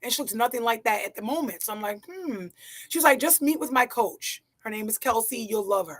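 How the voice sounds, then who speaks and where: Fairly high-pitched and animated, a woman speaks at a fairly quick pace with lively intonation. Her loudness swings widely. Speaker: figure bodybuilding athlete. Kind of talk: live interview.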